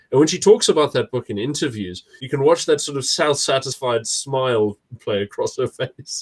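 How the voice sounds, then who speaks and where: A man's somewhat breathy, fairly high voice with lively intonation at a moderate pace, dry and close with no echo. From South Africa. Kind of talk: casual chat.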